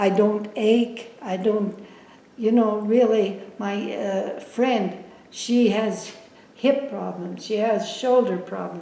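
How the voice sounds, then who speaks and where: A woman with fairly high pitch speaks at a very slow pace with fairly even intonation, amid audible room echo and noticeable background noise. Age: 90s. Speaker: oral history interviewee. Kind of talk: oral history interview. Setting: filmed interview. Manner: halting.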